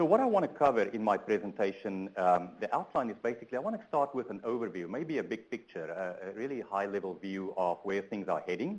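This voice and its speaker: Talking at a very fast pace with hardly any pauses, a man with a South African accent uses lively intonation at medium pitch. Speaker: transportation researcher, keynote speaker. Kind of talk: conference keynote talk. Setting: conference room, also webinar. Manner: hesitant, many fillers.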